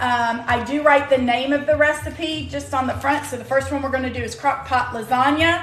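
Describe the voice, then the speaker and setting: Audible room echo surrounds a woman's voice. Behind her, music plays in the background. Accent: American. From US South. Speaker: cooking demonstrator and sales consultant. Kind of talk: live-stream cooking tutorial. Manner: casual, chatty.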